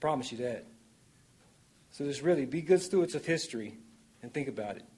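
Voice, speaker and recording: A man's fairly high-pitched voice at a fairly quick pace, with lively intonation, big swings in loudness, and long, frequent pauses. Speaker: public commenter. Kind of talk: public comment speech. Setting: city council meeting.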